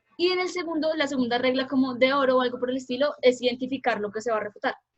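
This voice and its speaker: This woman talks very fast. Her high voice varies in pitch in an ordinary way. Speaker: debate coach. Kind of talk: workshop lecture.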